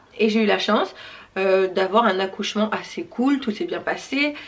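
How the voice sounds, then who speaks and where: A woman with a medium-pitched voice speaks over noticeable background noise. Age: 30s. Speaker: YouTuber. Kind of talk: Q&A vlog. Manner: fast.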